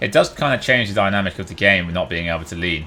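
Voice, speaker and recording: With noticeable background noise, a man talks at a very fast pace in a fairly low voice with ordinary pitch variation. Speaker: gamer, streamer. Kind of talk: gameplay commentary.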